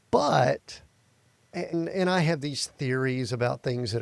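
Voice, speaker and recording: With an American accent, a man talks at a moderate pace. Noticeable background noise runs underneath. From US South, Atlanta area. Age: 60s. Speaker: podcast host. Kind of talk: interview podcast. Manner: casual, conversational.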